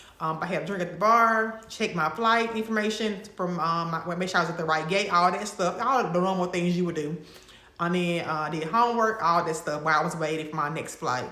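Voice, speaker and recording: A woman with a Mississippi accent, fairly low in pitch with ordinary pitch variation, amid audible room echo and noticeable background noise. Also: fairly quick pace. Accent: Mississippi Southern. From Mississippi, US South. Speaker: lifestyle and travel vlogger. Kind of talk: casual vlog talk to camera. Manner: conversational, with fillers and restarts.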